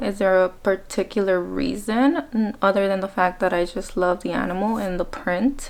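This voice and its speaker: A woman speaks in an ordinary speaking voice at a moderate pace, with ordinary pitch variation and hardly any pauses. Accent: American. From Mexico (Colima) to age ten, then US (California). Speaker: beauty vlogger. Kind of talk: casual chat while doing makeup.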